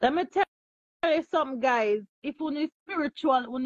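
Here a woman speaks with a high pitch. The background is quiet. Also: dry sound with no echo. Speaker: livestream host. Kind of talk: casual livestream chat. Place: home room. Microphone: phone near.

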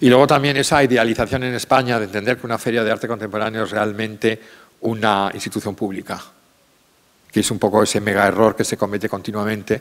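A man's fairly low voice, very fast in pace and fairly even in intonation. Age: 50s. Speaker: art curator and art fair director; art curator lecturer. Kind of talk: lecture. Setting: stage with audience. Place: stage. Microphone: podium.

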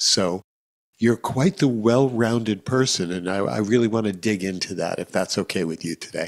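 With an American accent, a man talks at a moderate pace in a fairly low pitch against a quiet background. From United States. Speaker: podcast host. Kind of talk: casual interview. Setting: video call. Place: studio. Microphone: studio mic.

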